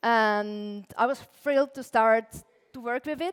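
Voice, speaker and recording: Against a silent background in a very clean recording, a woman with an Austrian accent speaks at a high pitch and a fairly slow pace, with ordinary pitch variation. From Austria, Tyrol. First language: German. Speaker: illustrator and lettering artist, conference speaker. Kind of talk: conference talk. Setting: stage with audience. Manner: casual, frequent filler words.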